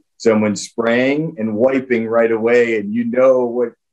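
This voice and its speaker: With a normal speaking voice, a man talks at a fairly slow pace with ordinary pitch variation against a quiet background. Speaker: guest. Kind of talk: interview answer. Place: office. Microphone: webcam.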